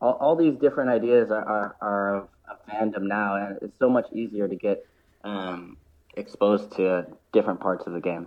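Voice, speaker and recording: In an American accent, a man with a fairly low voice talks at a moderate pace, with ordinary pitch variation and big swings in loudness. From US, Oakland area. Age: 30s. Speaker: former pro footballer and football presenter. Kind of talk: casual interview.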